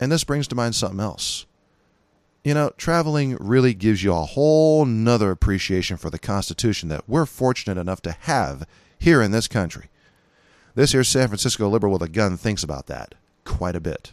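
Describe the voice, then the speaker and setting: On a very clean recording with a silent background, a man talks at a fairly quick pace in an American accent. His pitch swings very widely. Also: fairly low pitch for a man. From California. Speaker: podcast host, gun rights commentator. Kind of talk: monologue podcast commentary. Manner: casual, conversational.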